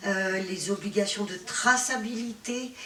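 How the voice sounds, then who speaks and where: A woman with a fairly high pitch speaks very slowly, with ordinary pitch variation. Noticeable background noise and audible room echo come through in the recording. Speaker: patient advocacy association president. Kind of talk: conference talk. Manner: hesitant, many fillers.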